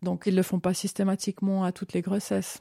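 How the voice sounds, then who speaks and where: A woman's dark, mellow, medium-pitched voice at a very fast pace, dry and close with no echo, on a very clean recording with a silent background. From Switzerland, Vaud (Vevey, Lausanne). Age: 40s. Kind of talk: personal testimony interview.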